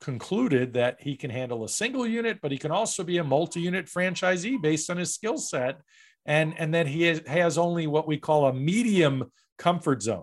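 A man with an ordinary speaking voice, fairly high-pitched, with lively intonation. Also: very clean recording, silent background. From New York. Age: 50s. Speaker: franchise broker. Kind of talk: interview.

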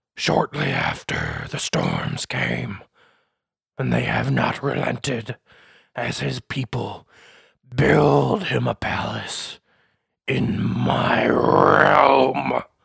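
A man uses a raspy, put-on character voice at a medium pitch. He talks at a very slow pace with long, frequent pauses. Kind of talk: fantasy villain theatrics. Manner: haughty, imperious, suspicious.

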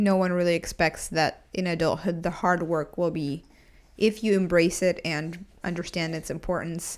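A fairly low-pitched woman's voice at a moderate pace, with monotone, flat intonation. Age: 20s. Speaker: podcast co-host. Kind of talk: casual chat.

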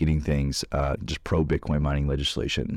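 Speaking at a fairly quick pace, a man uses a very deep, low pitch with vocal fry. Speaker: podcast host. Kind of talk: casual chat.

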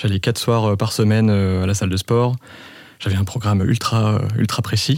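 At a moderate pace, a man talks in a fairly low pitch with fairly even intonation and very even loudness. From France, Reims. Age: 30s. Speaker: podcast guest. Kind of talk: casual chat. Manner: halting.

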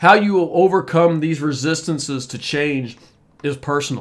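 This is an unremarkable speaking voice with ordinary pitch variation. The pace is fairly slow. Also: man. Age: 50s. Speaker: podcast host, coach and engineer. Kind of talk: solo podcast monologue.

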